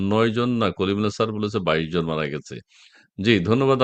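A man talks against a quiet background. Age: middle-aged. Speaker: political talk show host. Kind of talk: live political talk show. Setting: live stream video call.

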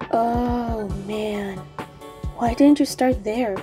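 A female-sounding, put-on character voice at a fairly high pitch plays over clear background music. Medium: dub.

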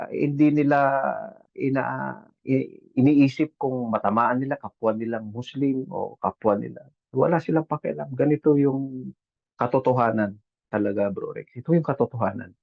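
A man speaks in a normal speaking voice. His pitch is medium, with ordinary variation. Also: moderate pace. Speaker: overseas Filipino worker, caregiver. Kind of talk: casual chat. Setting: video call.

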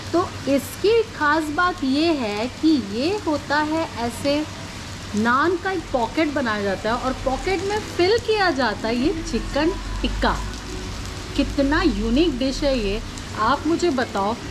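A woman talks very slowly in a high pitch. Noticeable background noise is present. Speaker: food vlogger. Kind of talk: casual vlog chat. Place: cafe.

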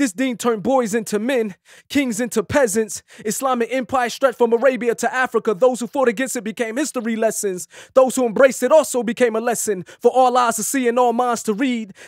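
With an American accent, the speaker talks at a fairly quick pace with fairly even intonation, in a dry sound with no echo over a quiet background. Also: man, extremely high pitch for a man. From United States. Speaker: former rapper turned poet. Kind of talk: spoken word poetry. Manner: raw, unaccompanied. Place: studio. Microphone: studio mic.

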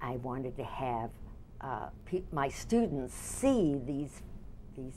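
A woman speaks with an American accent in a very deep, low pitch. There is light background noise. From Michigan. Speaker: dance teacher. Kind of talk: oral history interview. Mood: warm, fond.

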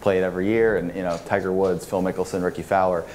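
A man talks, and light background noise can be heard. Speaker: conference panelist. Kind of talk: panel discussion answer. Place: hall.

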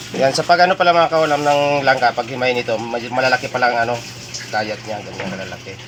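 A man talks at a very fast pace with a medium pitch and ordinary pitch variation. Noticeable background noise is present. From Bicol, Philippines. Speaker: cooking vlogger. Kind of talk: cooking tutorial. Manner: casual, hesitant with many fillers.

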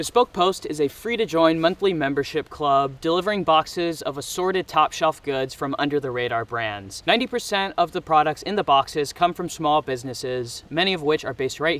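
Speech comes at a fairly quick pace with hardly any pauses in a dry sound with no echo. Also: man, lively intonation. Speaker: outdoor vlogger. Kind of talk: casual vlog chat.

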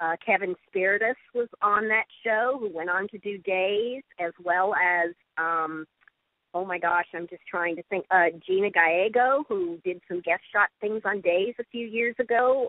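A woman speaks fairly slowly in a normal speaking voice. Her pitch shows ordinary variation. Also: medium pitch for a woman. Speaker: actress and voiceover artist. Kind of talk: interview answer.

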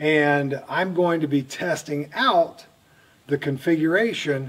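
A man talks at a very slow pace with fairly even intonation. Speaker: outdoor vlogger. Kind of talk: casual vlog chat. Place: tunnel cave.

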